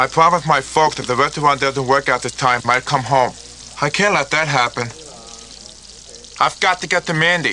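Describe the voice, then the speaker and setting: Over light background noise, a man's speech moves fairly quickly. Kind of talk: scripted drama dialogue. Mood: eager, then worried. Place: kitchen.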